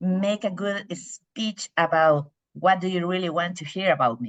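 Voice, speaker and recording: Speaking fairly slowly with lively intonation, a woman with a medium pitch talks in a Spanish accent. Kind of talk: impromptu speech.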